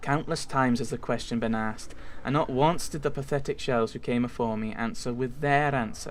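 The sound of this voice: The voice reads aloud. It sounds unforced.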